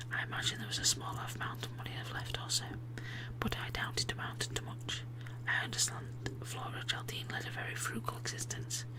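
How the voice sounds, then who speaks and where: The speaker whispers in a soft-spoken, gentle tone at a fairly quick pace. Noticeable background noise is present. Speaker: ASMR channel host and reader. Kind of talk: whispered book reading for ASMR. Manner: whispered, soft, gentle.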